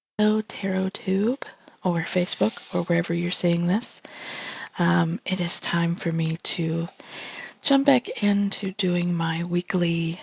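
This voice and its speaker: A woman with an American accent speaks quietly at a fairly slow pace, her pitch fairly low with ordinary variation. The sound is dry and close, with no echo. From United States. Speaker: tarot reader. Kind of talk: tarot reading vlog. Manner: hesitant, many fillers.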